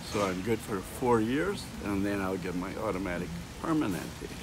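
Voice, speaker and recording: Fairly low male pitch with ordinary variation, a moderate pace, audible room echo and noticeable background noise. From Scotland. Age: 70s. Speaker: retired airline pilot. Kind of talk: street interview. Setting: outdoors, downtown street.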